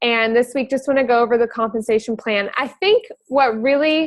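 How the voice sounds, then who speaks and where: This woman speaks with a high voice and fairly even intonation. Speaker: network marketing trainer. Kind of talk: training call. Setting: video call. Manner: fast; casual, filler words.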